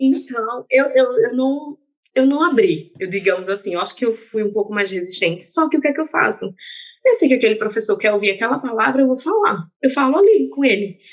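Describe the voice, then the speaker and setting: A woman with a northeastern Brazilian accent talks at a fairly quick pace, her intonation lively. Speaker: dentist. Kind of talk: casual chat.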